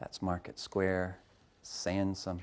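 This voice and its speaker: This soft-spoken man has a very deep, low pitch. His intonation is monotone and flat. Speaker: coffee company founder and CEO. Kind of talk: public lecture. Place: hall.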